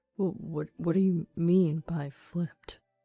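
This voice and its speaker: A shaky, put-on character voice at a middle pitch speaks at a fairly slow pace. Music plays in the background. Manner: low, trembling, fearful.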